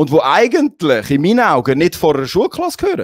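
A man with a Swiss accent talks at a very fast pace in a high, animated voice, recorded dry with no echo against a quiet background. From Switzerland. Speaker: talk show host. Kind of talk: casual chat. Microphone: handheld.

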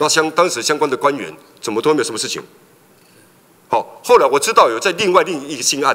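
Speaking at a very fast pace, a man breaks his delivery with long, frequent pauses. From Taiwan. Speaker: legislator. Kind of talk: parliamentary questioning. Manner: halting, many fillers. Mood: critical, challenging. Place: hall. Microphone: podium.

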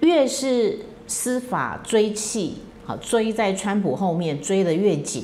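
Over light background noise, a woman speaks very slowly, her pitch swinging very widely. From Taiwan. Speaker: political commentary host; political commentator, lawyer. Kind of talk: solo commentary monologue; political commentary monologue. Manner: frequent fillers (哈, 啊). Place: home room.

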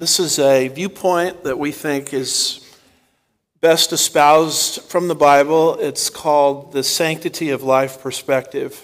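With a quiet background, a man speaks at a fairly slow pace in fairly even intonation. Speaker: pastor. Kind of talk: sermon.

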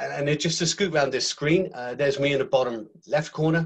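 A man speaks in an ordinary speaking voice. His pace is moderate, with ordinary pitch variation. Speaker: business planner. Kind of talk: webinar presentation. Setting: video call.

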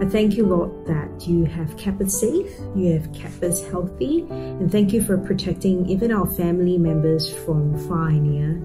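Over clear music in the background, a woman speaks with very even loudness and hardly any pauses. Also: moderate pace. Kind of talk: spoken prayer. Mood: calm, reverent. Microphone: webcam.

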